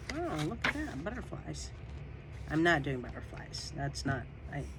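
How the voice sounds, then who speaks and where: The talking proceeds at a moderate tempo with noticeable background noise present. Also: woman. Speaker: junk journal crafter. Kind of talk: casual craft process talk to camera. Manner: casual, chatty.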